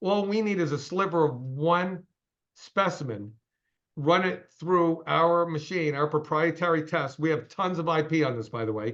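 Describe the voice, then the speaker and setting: An unremarkable speaking voice from a man, fairly high in pitch with ordinary pitch variation, against a quiet background. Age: 60s. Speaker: company CEO. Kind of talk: interview. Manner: fast.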